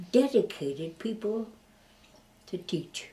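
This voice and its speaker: A woman speaks at a very slow pace in a somewhat breathy, dark, mellow tone. Her intonation is lively. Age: 80s+. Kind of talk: interview answer.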